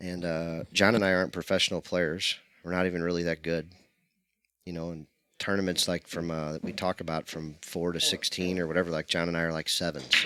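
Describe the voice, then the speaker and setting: Loud and very deep, a man talks at a fairly quick pace in a flat monotone. His tone is bright and sharp, and the recording is very clean with a silent background. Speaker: pool stream commentator. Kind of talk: casual chat. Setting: streaming booth beside pool table.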